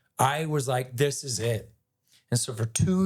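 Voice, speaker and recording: A man with an American accent talks at a fairly slow pace and medium pitch, his intonation lively. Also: very clean recording, silent background. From Ohio, Cleveland area. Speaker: actor. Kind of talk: podcast interview, casual chat. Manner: animated, conversational.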